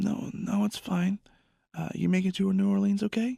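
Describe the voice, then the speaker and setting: A man puts on a raspy character voice, pitched high. He keeps a moderate pace. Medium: read story.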